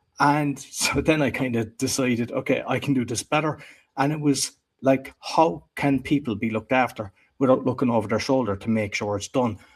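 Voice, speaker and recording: Speaking at a fairly quick pace, a man talks in an Irish accent. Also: medium pitch for a man, ordinary pitch variation. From Ireland. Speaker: podcast producer and entrepreneur. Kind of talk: interview conversation.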